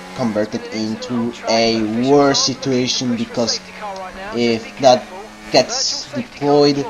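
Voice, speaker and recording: A man speaks with music playing in the background. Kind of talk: sim racing commentary. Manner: casual.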